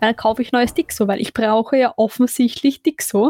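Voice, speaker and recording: The sound is dry and close with no echo as a woman speaks at a high pitch. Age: 20s. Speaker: podcast co-host. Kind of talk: casual chat.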